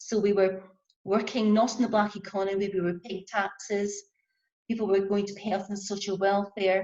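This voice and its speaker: A woman with a Scottish accent speaks at medium pitch and a moderate pace, her intonation flat and monotone. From Scotland. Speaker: handcraft business owner. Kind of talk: panel discussion.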